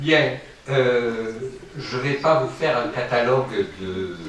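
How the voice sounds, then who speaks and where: With audible room echo and noticeable background noise, a man talks very slowly at medium pitch with lively intonation. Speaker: professor, conference speaker. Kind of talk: conference talk. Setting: lecture hall with microphone.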